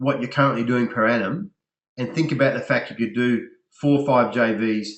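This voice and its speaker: With a medium pitch, the man lets his voice vary in an ordinary way. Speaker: business coach for health practitioners. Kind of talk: webinar sales presentation. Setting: online webinar. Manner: fast.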